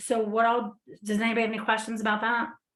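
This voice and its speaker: A woman speaks against a quiet background. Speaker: staff trainer. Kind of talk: software training walkthrough. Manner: hesitant, many fillers.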